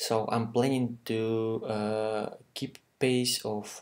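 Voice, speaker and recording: Speaking in a monotone, flat way, a man with a medium-pitched voice talks with a non-native accent. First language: not English. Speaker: software developer. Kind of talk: tutorial. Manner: halting, many fillers.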